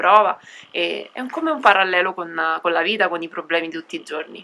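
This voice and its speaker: The voice carries clear vocal fry. It moves at a moderate pace. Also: woman. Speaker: cycle traveller. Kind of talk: interview. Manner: long-winded.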